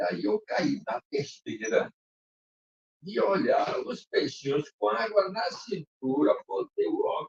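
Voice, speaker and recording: A man's voice with a dry, close sound and no echo. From Ukraine. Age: 80s+. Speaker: sailor and navigator. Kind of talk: public talk. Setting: museum talk with live audience. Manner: casual storytelling.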